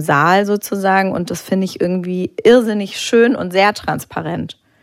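A woman at medium pitch speaks in an unremarkable speaking voice, at a fairly slow pace with fairly even intonation. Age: 30s. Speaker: art auction house director. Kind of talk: live public talk interview. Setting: stage with audience.

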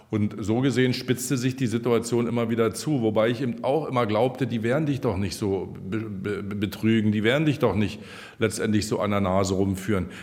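Music plays behind a man speaking at a fairly quick pace. His pitch is medium and his intonation fairly even. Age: 60s. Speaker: retiring district administrator. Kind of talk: interview. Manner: hesitant, many fillers.

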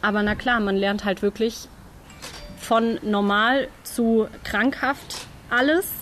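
Speaking at a very slow pace with long, frequent pauses, a woman holds a very even loudness and fairly even intonation in a fairly high pitch, with noticeable background noise behind her. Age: 20s. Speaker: nursing trainee. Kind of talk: interview.

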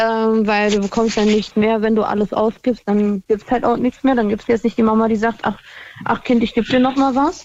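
A woman talks at a moderate pace in a fairly high pitch. Her intonation is monotone and flat, and her loudness stays very even. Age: 20s. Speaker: caller. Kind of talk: phone-in chat.

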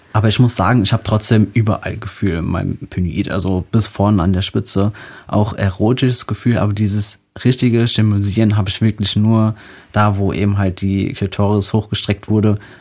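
Fairly low in pitch, a man speaks at a fairly quick pace with monotone, flat intonation. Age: 20s. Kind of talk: interview.

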